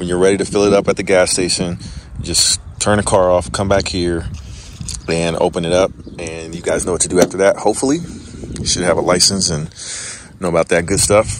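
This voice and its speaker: A man with a very deep, low voice talks at a fairly quick pace with fairly even intonation. The sound is dry with no echo, though there is noticeable background noise. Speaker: channel host. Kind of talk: tutorial. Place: street. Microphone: phone near.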